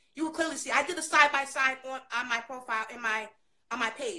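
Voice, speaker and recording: A woman's raised, projected voice, bright and sharp in tone, with very wide pitch swings and a fairly quick pace. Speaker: guest. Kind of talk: casual conversation. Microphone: phone near.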